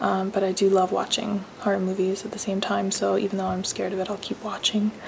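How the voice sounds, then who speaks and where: A woman whispers. Noticeable background noise is present. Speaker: mom vlogger. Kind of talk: casual vlog talk to camera. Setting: at home at night, kids asleep. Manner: hesitant, many ums; whispering.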